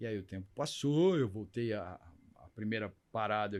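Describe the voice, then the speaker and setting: A man talks at a moderate pace in a plain, everyday voice. His intonation is lively. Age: 60s. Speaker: LGBT activist. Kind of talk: interview.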